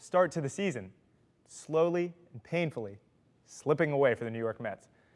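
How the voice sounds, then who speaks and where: A man with a fairly high pitch speaks at a moderate pace, using very wide pitch swings and big swings in loudness. The recording is very clean, with a silent background. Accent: American. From Pennsylvania. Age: 20s. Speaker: sports anchor/reporter. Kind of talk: sports news read.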